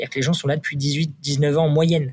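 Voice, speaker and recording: A man talks at a fairly high pitch. His voice is somewhat breathy. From Normandy, France (Le Havre). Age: 30s. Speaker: startup founder and CEO. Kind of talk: interview. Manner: hesitant, many fillers.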